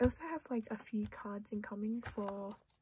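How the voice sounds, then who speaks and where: A woman with a fairly high, somewhat breathy voice talks at a fairly slow pace with fairly even intonation. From Australia, Melbourne. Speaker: collector vlogger. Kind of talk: casual chat. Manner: hesitant, filler-heavy.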